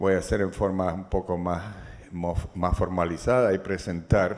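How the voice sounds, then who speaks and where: A man's fairly low-pitched voice with audible room echo. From Chile. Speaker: economist and governance expert. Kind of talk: lecture. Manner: halting, with frequent false starts.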